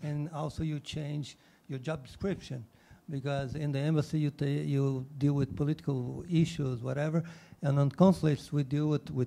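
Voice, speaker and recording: With a Portuguese accent, a man speaks at a moderate pace in a fairly high, somewhat breathy voice. His tone is dark and mellow, his intonation fairly even. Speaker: diplomat. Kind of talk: panel discussion.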